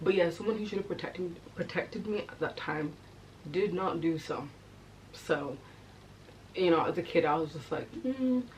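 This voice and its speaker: Amid noticeable background noise, a woman with a fairly low pitch talks at a moderate pace with lively intonation and long, frequent pauses. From England. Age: 20s. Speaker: YouTuber. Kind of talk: personal storytelling vlog. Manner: casual, conversational with fillers.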